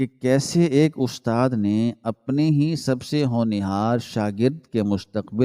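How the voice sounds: The reading is done in a natural voice. It is a natural reading voice throughout.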